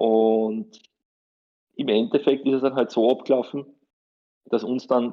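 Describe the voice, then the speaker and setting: Here a man speaks fairly slowly at a medium pitch. His intonation stays fairly even. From Austria, Styria. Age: 30s. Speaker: lawyer and tournament organizer. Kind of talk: interview.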